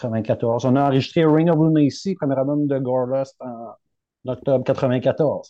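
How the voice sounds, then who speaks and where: A man's very slow speech carries fairly even intonation. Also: medium pitch for a man, hardly any pauses. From Rimouski, Quebec. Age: 40s. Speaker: metal band vocalist. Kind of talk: casual chat.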